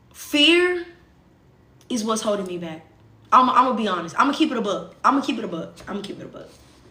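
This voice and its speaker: Amid audible room echo and noticeable background noise, a woman with a fairly high pitch talks at a very fast pace, with very wide pitch swings, big swings in loudness, and long, frequent pauses. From US South. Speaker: social media livestreamer. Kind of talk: casual livestream chat.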